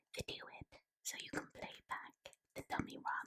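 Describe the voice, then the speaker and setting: In a gentle tone, a woman speaks in a whisper. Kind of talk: ASMR whispered book reading. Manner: whispered, gentle, soft-spoken.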